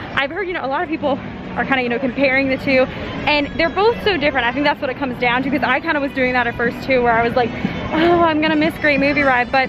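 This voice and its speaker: Over crowd noise in the background, a woman talks at a very fast pace with ordinary pitch variation, the sound dry with no echo. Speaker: vlogger. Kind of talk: casual vlog chat. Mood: nostalgic then excited. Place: street. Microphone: phone near.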